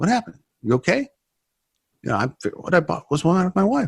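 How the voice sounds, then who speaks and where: Vocal fry marks this man's voice, recorded dry and close with no echo. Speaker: former prisoner turned ministry speaker. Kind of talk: testimony interview. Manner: loud.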